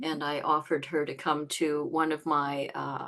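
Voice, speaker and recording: A woman's very deep, low pitch. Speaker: qigong teacher. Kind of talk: interview host, casual talk.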